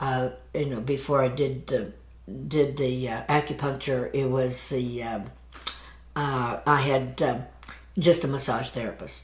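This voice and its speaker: Fairly even intonation at a fairly slow pace, with long, frequent pauses and audible room echo. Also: woman, very deep, low pitch for a woman. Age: 70s. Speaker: massage therapist. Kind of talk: interview. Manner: halting.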